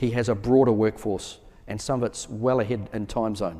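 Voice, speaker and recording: A man with a New Zealand accent speaks at a moderate pace in a medium pitch, his tone dark and mellow, on a very clean recording with a silent background. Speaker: military officer. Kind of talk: conference Q&A answers.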